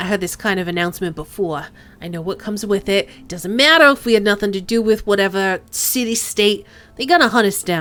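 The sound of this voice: The clip features an unforced reading voice with ordinary pitch variation.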